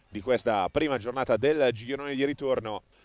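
Here a man talks with a dry, close sound and no echo. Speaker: football match commentator. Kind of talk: live sports commentary, highlights voiceover. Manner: excited, animated, rapid-fire play-by-play with exclamations at goals; partisan, cheering for the home team.

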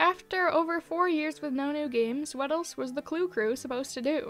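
Music plays in the background as a woman talks at a fairly quick pace with lively intonation. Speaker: video essayist. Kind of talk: video essay narration.

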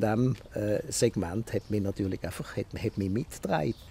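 A man speaks at a moderate pace in a dark, mellow, somewhat breathy tone, the sound dry with no echo. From Basel, Switzerland (Kleinbasel); Switzerland. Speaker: radio journalist and media professional; radio journalist. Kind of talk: interview. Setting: outdoors in a garden. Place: garden.

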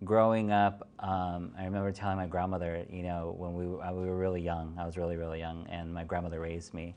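This man talks at a very fast pace in a monotone, flat intonation, with hardly any pauses. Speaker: interview guest. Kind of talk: interview answer. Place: studio.

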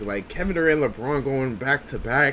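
A man's voice over light background noise. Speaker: sports reaction YouTuber, Lakers fan. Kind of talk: casual reaction commentary to game highlights. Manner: animated, excitable, slangy, repeats catchphrases. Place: home room.

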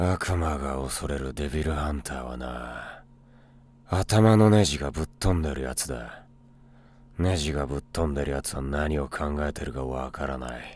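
A man puts on a character voice, pitched very deep and low. He keeps a moderate pace. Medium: voice reel. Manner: cool, gruff.

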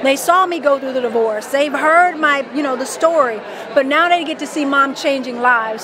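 Energetic and fairly quick, a woman speaks with an American accent and ordinary pitch variation in a dry sound with no echo, over noticeable background noise. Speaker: life coach. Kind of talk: interview. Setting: expo event. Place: hall. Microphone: handheld.

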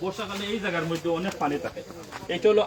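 Noticeable background noise sits under the speech. Pitch variation is ordinary. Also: man. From Bangladesh, Sylhet region (Kulaura, Moulvibazar). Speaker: local resident with a complaint. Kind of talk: statement to the press.

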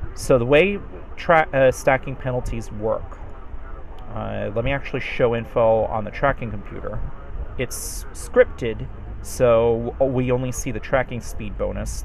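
Male speech at an unhurried, moderate pace, with noticeable noise behind it. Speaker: game tutorial presenter. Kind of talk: tutorial explanation.

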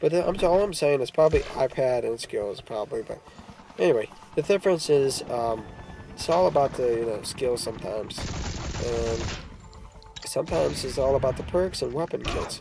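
The speaker talks at a moderate pace with long, frequent pauses. Music plays in the background. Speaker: mobile game player. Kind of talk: gameplay commentary.

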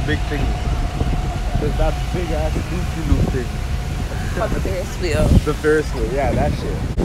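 Over loud background noise, a man speaks with long, frequent pauses, the sound dry with no echo. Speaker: vlogger. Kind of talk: casual vlog chat. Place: street. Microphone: phone near.

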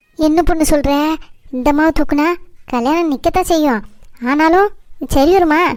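This is a high-pitched, cartoonish character voice. It moves at a moderate pace. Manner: hesitant, questioning.

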